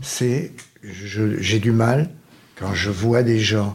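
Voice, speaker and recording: Intonation is fairly even throughout. The delivery moves at a very slow pace. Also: man. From Marseille, France. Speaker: radio show panelist living with Alzheimer's. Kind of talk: casual chat. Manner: halting.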